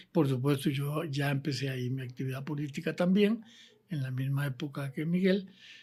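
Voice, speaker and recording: Speaking at a moderate pace, a man with a fairly high pitch, ordinary pitch variation and a dark, mellow, somewhat breathy tone comes through on a very clean recording with a silent background. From Costa Rica (San José). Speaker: former politician. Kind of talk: interview. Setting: office.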